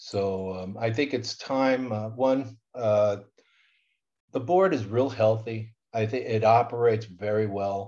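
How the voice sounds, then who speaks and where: Spoken at a very slow pace with an American accent, the voice sits against a quiet background. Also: man, medium pitch for a man, ordinary pitch variation. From Southern California, Inland Empire. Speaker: school board president and accounting instructor. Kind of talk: interview.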